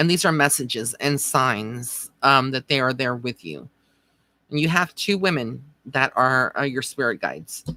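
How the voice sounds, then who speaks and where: A woman speaks at a moderate pace with a very deep, low pitch and vocal fry. Her tone is bright and sharp, and her intonation lively. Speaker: psychic medium. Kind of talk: live stream psychic reading. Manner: casual, conversational.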